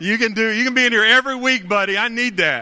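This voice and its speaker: A man speaks in a raised, projected voice at a moderate pace, his tone animated, bright and sharp. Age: 40s. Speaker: pastor. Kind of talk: live Sunday sermon; live Sunday sermon closing in an altar call, leading a salvation prayer. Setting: church service with live congregation. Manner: animated, conversational call-and-response with the congregation.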